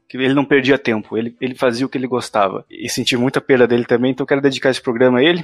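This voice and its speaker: Dry and close with no echo, the recording has a man talking at a very fast pace at a medium pitch. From Brazil. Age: 20s. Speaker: podcast host. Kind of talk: casual chat.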